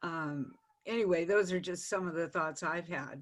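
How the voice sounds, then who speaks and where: A woman speaks at a fairly low pitch with fairly even intonation. The background is quiet. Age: 70s. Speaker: audience member. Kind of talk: casual chat.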